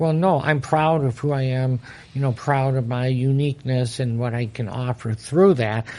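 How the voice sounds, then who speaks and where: A man speaks at a moderate pace in a medium pitch, his dark, mellow tone carried by fairly even intonation. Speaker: motivational speaker. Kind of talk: interview. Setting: podcast. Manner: hesitant, many fillers.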